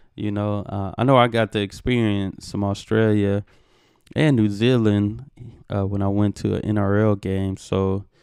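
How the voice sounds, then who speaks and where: A man with a Texan accent, fairly low in pitch, at a moderate pace, his intonation monotone and flat, over a quiet background. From Texas. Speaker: reaction video YouTuber. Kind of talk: casual video commentary. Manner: conversational, many fillers.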